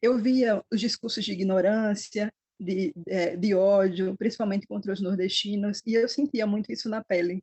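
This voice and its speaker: This woman speaks in a northeastern Brazilian accent at a medium pitch with ordinary pitch variation. Her voice is somewhat breathy and her pace moderate. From Northeast Brazil. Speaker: historian. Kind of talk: book club talk. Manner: halting.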